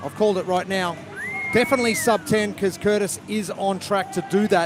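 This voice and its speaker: A high-pitched man with a New Zealand accent, ordinary pitch variation and a fairly quick pace, music in the background. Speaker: sports commentator. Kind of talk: live commentary.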